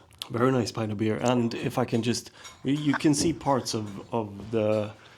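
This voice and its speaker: Amid noticeable background noise, a man with a Swedish accent talks at a medium pitch and a moderate pace with ordinary pitch variation. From Sweden. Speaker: podcast host, maker. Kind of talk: casual chat. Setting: back room of a pub.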